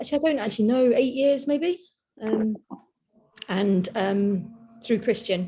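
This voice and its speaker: A woman speaks with a London accent. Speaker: workshop participant. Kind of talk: group video call introductions.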